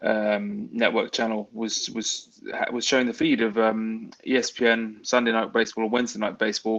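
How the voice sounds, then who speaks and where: A man with a British accent at a moderate pace. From England. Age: 30s. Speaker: baseball fan. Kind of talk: podcast interview.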